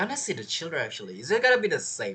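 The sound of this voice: A bright, sharp tone carries a husky, rough edge. Speech races at a very fast pace with very wide pitch swings.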